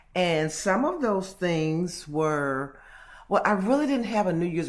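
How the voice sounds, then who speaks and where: Her pitch swinging very widely, a woman talks at a moderate pace over audible room echo. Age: 60s. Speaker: vlogger. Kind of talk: casual monologue vlog. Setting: at home alone.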